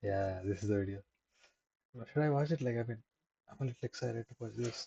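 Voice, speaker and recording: A man speaks at a very fast pace in a medium pitch with a dark, mellow, somewhat breathy tone, ordinary pitch variation and a dry, close sound with no echo. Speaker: streamer doing a study livestream. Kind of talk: casual live-stream chat. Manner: halting.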